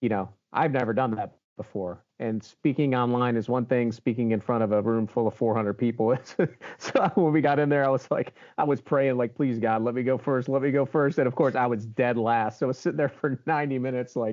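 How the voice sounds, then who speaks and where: A man with an American accent speaks at a fairly quick pace, in a medium pitch. His pitch varies in an ordinary way, and he has an unremarkable speaking voice. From Baltimore, Maryland. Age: 50s. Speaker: HVAC show host and influencer. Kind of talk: interview conversation.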